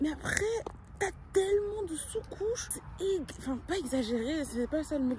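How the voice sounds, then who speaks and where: A woman's animated tone at a fairly slow pace, with very wide pitch swings and noticeable background noise. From Brussels, Belgium. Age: 20s. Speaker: vlogger. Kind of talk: casual vlog talk to camera. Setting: outdoors, walking. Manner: halting, many fillers.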